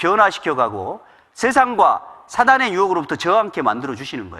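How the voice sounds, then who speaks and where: A man with very wide pitch swings, a fairly quick pace and a bright, sharp tone. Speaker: pastor. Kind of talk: sermon. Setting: church. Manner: fast; occasional stumbles.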